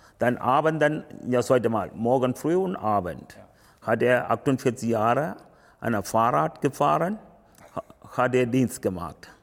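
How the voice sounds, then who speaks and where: A man's medium-pitched voice with vocal fry, lively intonation, very even loudness and long, frequent pauses. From Sri Lanka. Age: 50s. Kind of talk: interview. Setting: temple. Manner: halting.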